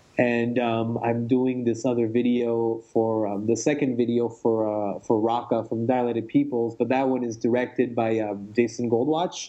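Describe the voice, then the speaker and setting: A man talks at a moderate pace with hardly any pauses, in a monotone, flat intonation. Noticeable background noise sits behind him. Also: medium pitch for a man. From France. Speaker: music video director and motion designer. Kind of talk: interview.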